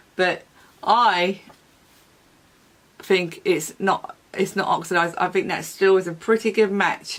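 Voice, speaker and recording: This woman talks at a fairly slow pace with a medium pitch, fairly even intonation, and long, frequent pauses. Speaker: beauty vlogger. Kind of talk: makeup review vlog. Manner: casual, hesitant with fillers; speaking quietly late at night.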